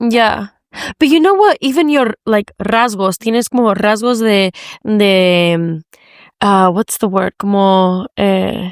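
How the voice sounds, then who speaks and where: Fairly slow delivery in an American accent, very even loudness, ordinary pitch variation, dry, close sound with no echo. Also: woman, medium pitch for a woman. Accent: sounds American. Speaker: podcast host. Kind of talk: casual chat.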